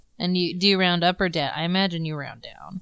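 Using an ordinary speaking voice, a woman talks at a medium pitch and a fairly quick pace with fairly even intonation. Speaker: tabletop game player. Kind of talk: casual roleplaying game session. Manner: casual, joking.

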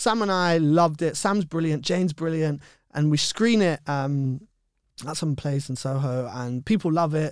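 A man with a London accent speaks at a fairly high pitch. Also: ordinary pitch variation, moderate pace, very clean recording, silent background. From West London, England. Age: 30s. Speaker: actor and children's author. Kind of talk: interview chat.

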